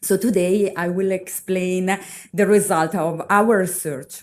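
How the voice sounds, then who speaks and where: Someone with an Italian accent speaks on a very clean recording with a silent background. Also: woman. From Italy. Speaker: university researcher. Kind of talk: conference presentation. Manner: halting, many fillers.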